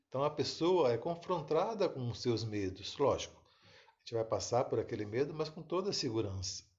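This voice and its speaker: A man talks with hardly any pauses, his fairly high pitch swinging very widely. Vocal fry runs through it, and his loudness swings a lot. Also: moderate pace. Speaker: therapist or self-help speaker. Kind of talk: live stream talk. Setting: live video stream.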